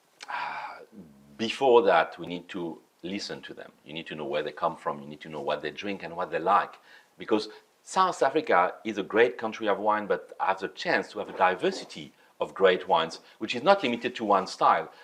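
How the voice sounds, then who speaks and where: With a French accent, a man speaks at a fairly quick pace and a fairly low pitch. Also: lively intonation. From France. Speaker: sommelier. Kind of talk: interview. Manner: halting.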